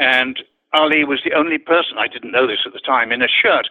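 Speaking at a moderate speed, a man uses a fairly high pitch. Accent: slight British. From Wales (Newport, Abergavenny), English boarding school. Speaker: public relations executive. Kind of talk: interview. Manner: animated, repeats words.

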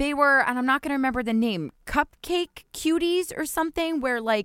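A woman with an American accent and very wide pitch swings, in a dry, close sound with no echo on a very clean recording with a silent background. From New Jersey. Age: 30s. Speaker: podcast co-host. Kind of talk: casual chat. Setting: home closet recording.

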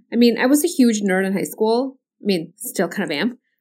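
A woman with a plain, everyday voice speaks at a moderate pace with ordinary pitch variation. The recording is very clean, with a silent background. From US (Indian-born, moved at nine). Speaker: physician, pain doctor. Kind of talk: interview, personal story.

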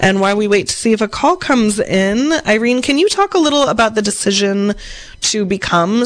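A woman's fairly high pitch with lively intonation. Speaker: radio host. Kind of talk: casual radio interview. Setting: live radio studio. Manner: bouncy, upbeat.

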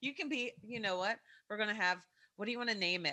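This woman has a fairly high pitch. She speaks with an American accent. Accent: Kentucky, slight when podcasting. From Kentucky, US. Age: 40s. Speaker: podcast host. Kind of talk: casual chat.

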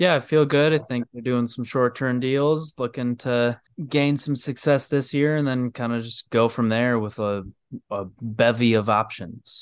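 A man with a medium pitch and an unremarkable speaking voice talks at a fairly slow pace, his intonation fairly even. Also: quiet background. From Michigan. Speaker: podcast guest, sports fan. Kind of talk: casual chat. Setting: video call.

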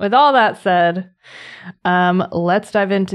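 In an American accent and a normal speaking voice, the speaker goes at a fairly slow pace with ordinary pitch variation against a quiet background. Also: woman. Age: 30s. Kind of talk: casual chat; reading aloud.

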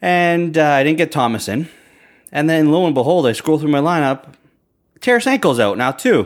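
This man has a normal speaking voice, fairly high in pitch, with lively intonation and very even loudness. He keeps a moderate pace in a very clean recording with a silent background. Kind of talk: casual banter between two hosts, fantasy hockey talk. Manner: relaxed, laughing, chatty.

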